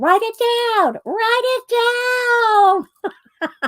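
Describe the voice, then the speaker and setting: Extremely high in pitch, the voice is a put-on character voice. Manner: stern, commanding.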